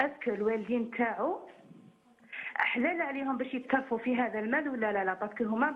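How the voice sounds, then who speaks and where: In an Algerian accent, a woman speaks at a high pitch and a moderate pace, with ordinary pitch variation. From Algeria, Boumerdes. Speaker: caller. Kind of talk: phone-in question. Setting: phone call. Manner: halting.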